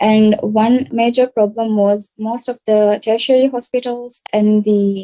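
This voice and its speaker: With a Maldivian accent, a woman speaks fairly slowly at a fairly high pitch, the sound dry and close with no echo. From Maldives. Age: 20s. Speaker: social entrepreneur. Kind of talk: pitch presentation.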